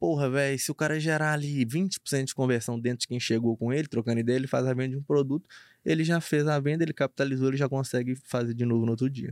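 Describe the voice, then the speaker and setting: A man speaks at a very fast pace with hardly any pauses, his medium pitch and fairly even intonation captured in a very clean recording with a silent background. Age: 20s. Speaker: paid traffic marketing expert. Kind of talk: casual podcast interview.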